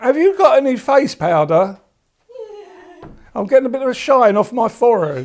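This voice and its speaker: A man with an English accent and an extremely high pitch, very wide pitch swings, a moderate pace and long, frequent pauses. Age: 70s. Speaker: cancer patient. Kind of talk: documentary interview.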